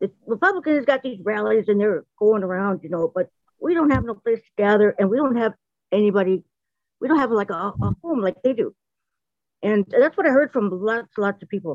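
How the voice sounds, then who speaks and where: Speaking quickly with lively intonation and big swings in loudness, a woman has a plain, everyday voice pitched fairly high. The sound is dry and close, with no echo. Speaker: campaign volunteer. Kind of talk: call-in comment. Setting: video call. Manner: casual, rambling.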